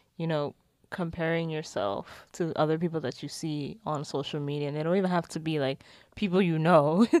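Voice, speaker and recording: A woman with an ordinary speaking voice at a moderate pace, with ordinary pitch variation, on a very clean recording with a silent background. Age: 20s. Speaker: podcast co-host, graduate student. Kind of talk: casual chat. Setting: at home in bed.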